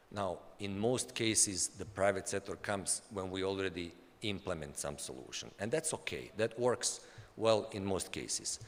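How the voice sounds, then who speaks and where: The speaker talks with a Bosnian accent and vocal fry. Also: man, fairly low pitch for a man, lively intonation, moderate pace. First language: Bosnian/Serbian. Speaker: development agency official. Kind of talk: conference talk. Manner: halting, with frequent repetitions.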